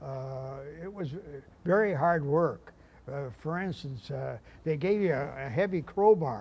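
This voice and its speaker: The loudness rises and falls sharply, delivered at a fairly slow pace in a somewhat breathy voice. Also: man, fairly high pitch for a man. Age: 80s+. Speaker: war veteran and riverboat captain. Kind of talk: interview. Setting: on a riverboat. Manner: halting, many repeats.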